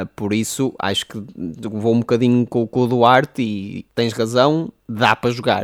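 With a plain, everyday voice at a medium pitch, a man speaks with fairly even intonation in a dry, close sound with no echo. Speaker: podcast co-host. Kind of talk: casual chat.

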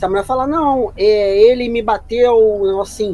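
A man talks at a fairly slow pace. Background noise is noticeable throughout. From Rio de Janeiro, Brazil (Praça Seca). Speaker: podcast guest. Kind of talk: casual chat.

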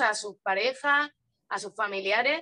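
A woman's raised, projected voice carries a bright, sharp tone and lively intonation. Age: 30s. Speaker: spiritual content creator. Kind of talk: casual interview.

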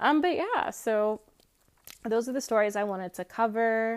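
An unremarkable speaking voice, this woman has an American accent, a fairly high pitch with ordinary variation, a moderate pace, and a dry, close sound with no echo. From US South, rural Georgia. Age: young. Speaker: podcast host. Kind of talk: casual chat; solo monologue. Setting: remote call.

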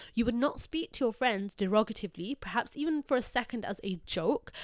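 In a very clean recording with a silent background and a dry, close sound with no echo, a woman talks in a normal speaking voice, fairly high in pitch, at a fairly quick pace with lively intonation. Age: 20s. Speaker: podcaster. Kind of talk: solo motivational talk. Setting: studio mic.

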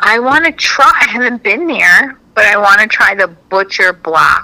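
Against noticeable background noise, a woman with a fairly high pitch talks at a moderate pace with lively intonation, very even loudness and hardly any pauses. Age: 40s. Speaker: comedian. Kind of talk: casual chat.

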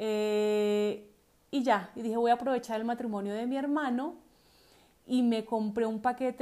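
Her tone is dark and mellow. This woman speaks at a fairly slow pace. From Colombia. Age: 40s. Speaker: podcast host. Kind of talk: personal storytelling.

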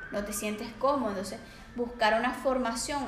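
Noticeable background noise and room echo fill the recording. A woman speaks in a Venezuelan accent. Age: 20s. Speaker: psychologist and life coach. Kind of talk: podcast interview.

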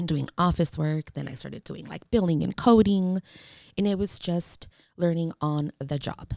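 A woman with a Spanish accent, dark and mellow in tone, at a moderate pace, with big swings in loudness, ordinary pitch variation, and a dry, close sound free of echo. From San Francisco, Mission District. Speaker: social worker and small business owner. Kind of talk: casual interview.

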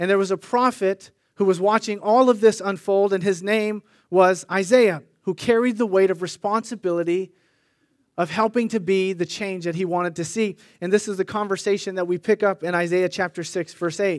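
A man with an American accent speaks at a high pitch and a moderate pace. The recording is very clean, with a silent background and a dry, close sound with no echo. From US West Coast (Sunnyvale, California). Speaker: pastor. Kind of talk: sermon. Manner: animated.

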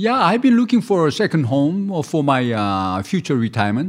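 The speaker has a Korean accent and a fairly slow pace. The background is quiet. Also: man. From South Korea. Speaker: restaurant owner. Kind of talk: casual interview. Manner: halting.

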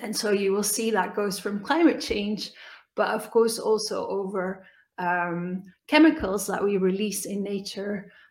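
The speech moves at a fairly slow pace with ordinary pitch variation. Audible room echo fills the recording. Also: woman. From Belgium. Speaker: business analyst. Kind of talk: interview.

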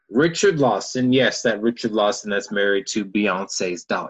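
A man with an American accent over a quiet background. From Texas, Houston. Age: 20s. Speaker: actor. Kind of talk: casual chat. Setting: video call.

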